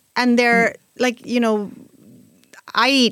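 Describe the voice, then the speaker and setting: A woman with a Spanish accent at a fairly slow pace, in a very clean recording with a silent background. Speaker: podcast co-host. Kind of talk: casual chat.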